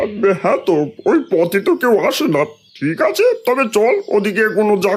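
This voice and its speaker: This is a cartoonish character voice with lively intonation. It moves at a moderate pace, and its loudness stays very even. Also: man, high pitch for a man. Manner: bossy, crude.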